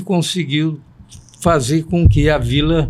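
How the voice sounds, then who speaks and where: A man is speaking. He talks at a very slow pace. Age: 70s. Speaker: veteran journalist. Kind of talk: interview.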